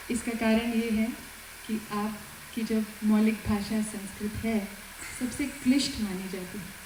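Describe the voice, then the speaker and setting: With a Malayalam accent, a woman speaks at a fairly high pitch amid noticeable background noise and audible room echo. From Kerala, India. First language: Malayalam (speaking Hindi). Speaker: police superintendent. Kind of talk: formal speech at event. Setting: auditorium. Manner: formal.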